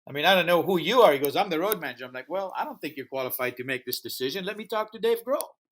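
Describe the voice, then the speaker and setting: The speech races at a very fast pace with hardly any pauses, very wide pitch swings, and big swings in loudness. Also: man, high pitch for a man. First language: not English. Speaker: music festival founder and promoter. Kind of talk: interview storytelling. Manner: animated.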